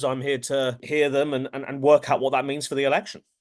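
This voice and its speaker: A man speaks at a fairly quick pace against a quiet background. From England. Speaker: pollster. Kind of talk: interview.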